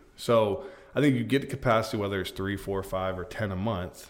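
Speaking with an American accent, a man uses a plain, everyday voice at a fairly low pitch. His pace is fairly quick, with ordinary pitch variation. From Florida, Polk County. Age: 30s. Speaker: real estate agent. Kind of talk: casual interview. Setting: studio.

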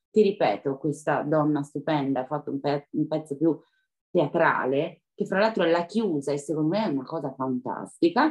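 Her pitch sits very deep and low for a woman. She talks at a moderate pace with lively intonation. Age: 40s. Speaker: professional dancer and dance teacher. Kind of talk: interview. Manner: animated.

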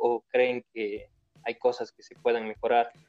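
A man speaks at a moderate pace. The sound is dry and close, without any echo. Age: 20s. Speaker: podcast host. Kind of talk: casual interview.

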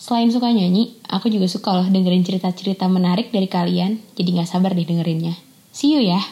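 Very fast and with hardly any pauses, a woman speaks at a medium pitch with ordinary pitch variation. Her voice is somewhat breathy, with a dark, mellow tone. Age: 20s. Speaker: sound recordist. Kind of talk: scripted self-introduction.

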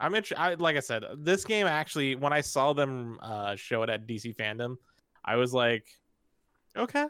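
A man speaks with a bright, sharp tone and lively intonation. The recording is very clean, with a silent background. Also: medium pitch for a man, moderate pace. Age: 30s. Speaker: podcast co-host. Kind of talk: casual chat.

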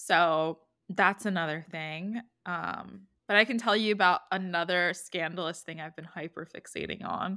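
At a moderate pace, a woman with a fairly low pitch and a bright, sharp tone speaks with fairly even intonation and big swings in loudness, on a very clean recording with a silent background. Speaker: podcast co-host. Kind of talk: casual chat.

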